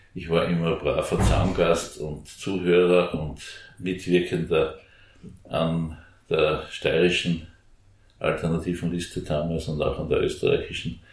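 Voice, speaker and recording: Heard with audible room echo, a man speaks at a fairly slow pace, leaving long, frequent pauses. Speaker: former member of parliament, Green politician. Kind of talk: interview. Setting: back room of a coffee house.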